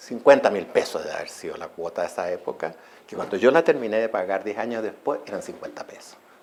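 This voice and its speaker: A man talks at a very fast pace, his loudness swinging widely from moment to moment. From Chile, Santiago. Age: 70s. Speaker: journalist and writer. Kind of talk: interview.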